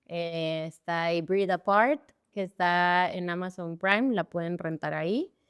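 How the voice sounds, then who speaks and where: A woman's fairly low voice, a normal speaking voice, with fairly even intonation at a fairly slow pace, dry and close with no echo, on a very clean recording with a silent background. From Guatemala. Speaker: actress and stunt performer. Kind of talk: casual interview chat.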